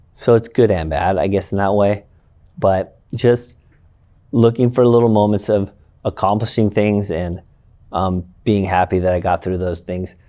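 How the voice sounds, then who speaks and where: This man speaks quietly in a fairly low pitch. His intonation stays fairly even. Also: moderate pace. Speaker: school educator and baseball coach. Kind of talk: interview conversation.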